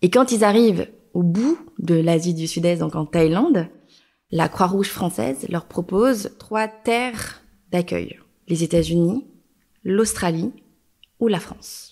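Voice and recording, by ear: A woman with a fairly low pitch and dark, mellow tone, at a slow pace with ordinary pitch variation.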